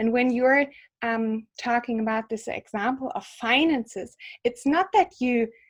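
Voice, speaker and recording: A woman with a German accent speaks at a fairly slow pace, her pitch fairly high. Her intonation stays fairly even over a quiet background. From Germany. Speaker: psychologist and yoga teacher. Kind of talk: interview. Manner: halting, with fillers.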